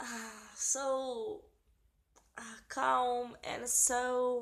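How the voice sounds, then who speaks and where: A woman speaks at a high pitch in a Portuguese accent. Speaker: vlogger. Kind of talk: casual explanation. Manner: halting.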